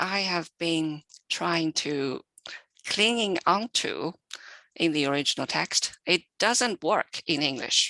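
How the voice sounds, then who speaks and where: Speaking very slowly in a Chinese accent, a woman with a fairly low, bright and sharp voice uses lively intonation, recorded dry and close with no echo against a quiet background. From China. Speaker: literary translator. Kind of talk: panel Q&A answer.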